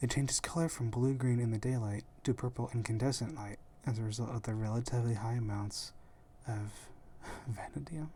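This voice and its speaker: Someone is whispering. The pace is fairly quick. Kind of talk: ASMR whispering about gemstones. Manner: whispered.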